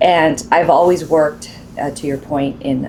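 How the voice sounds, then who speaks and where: In a Spanish accent, a woman talks at a fairly slow pace. Her intonation is monotone and flat, and background noise is noticeable. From Southern California (San Pedro). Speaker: college president. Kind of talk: interview.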